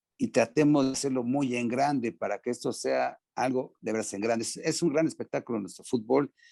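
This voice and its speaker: A man speaks in a Mexican accent at a medium pitch. The sound is dry and close with no echo, against a quiet background. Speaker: former American football player. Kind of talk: interview. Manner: hesitant, many fillers.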